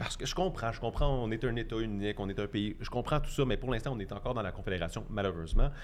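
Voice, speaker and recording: Audible room echo surrounds a man speaking at a medium pitch. He goes at a very fast pace with hardly any pauses. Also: ordinary pitch variation. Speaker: cycling and transit advocate. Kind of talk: debate.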